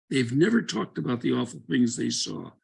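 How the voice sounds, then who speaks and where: A man with an American accent and vocal fry swings his pitch very widely. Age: 80s+. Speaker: former congressman and doctor. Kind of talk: panel talk.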